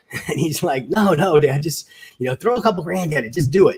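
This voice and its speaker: A man with an ordinary speaking voice at a moderate pace, with lively intonation. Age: 60s. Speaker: podcast host. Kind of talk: casual chat.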